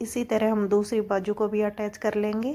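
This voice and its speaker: Her tone dark and mellow, a woman speaks slowly-ish at a fairly slow pace and a fairly high pitch. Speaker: sewing tutor. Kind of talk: tutorial. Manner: casual, conversational.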